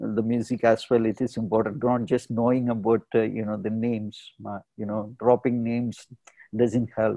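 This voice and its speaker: A man speaks at a moderate pace in a dark, mellow tone, with a quiet background and a dry sound with no echo. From India, Kerala. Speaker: artist and curator; guest. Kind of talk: interview. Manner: hesitant, many fillers. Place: home room. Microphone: earbuds.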